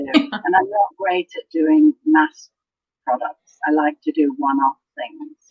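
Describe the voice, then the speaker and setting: In an English accent, a woman speaks at a fairly slow pace. Her voice moves in very wide pitch swings. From Canada. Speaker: crafter, design team member. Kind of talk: interview.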